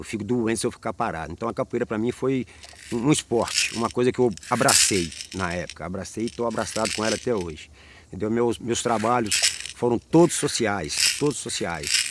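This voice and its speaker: Here is a man with an unremarkable speaking voice and a medium pitch. He talks at a fairly quick pace with ordinary pitch variation. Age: 60s. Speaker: capoeira master. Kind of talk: oral history interview.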